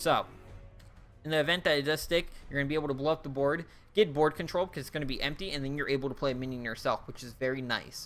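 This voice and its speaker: A man at a fairly high pitch and a very fast pace, with music in the background. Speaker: gaming YouTuber reviewing card game expansion. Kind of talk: casual video commentary. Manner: fast-talking; animated.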